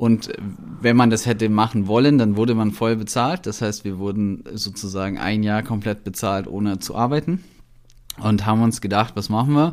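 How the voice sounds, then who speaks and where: A man's fairly low voice, with ordinary pitch variation and a moderate pace. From Allgäu, Bavaria (moved from Berlin at ten). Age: 30s. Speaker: filmmaker and content creator. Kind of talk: casual chat.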